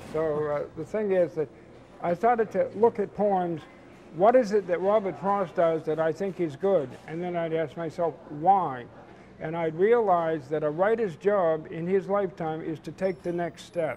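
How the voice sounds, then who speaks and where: Over music in the background, the speaker keeps a moderate pace with ordinary pitch variation. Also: man, high pitch for a man. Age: 70s. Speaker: poet. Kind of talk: interview.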